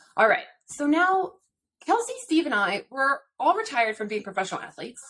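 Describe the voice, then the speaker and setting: With an American accent, a woman speaks very fast in a bright, sharp tone, her pitch swinging very widely. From central California, US. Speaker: retired pro athlete, podcast co-host. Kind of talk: podcast intro.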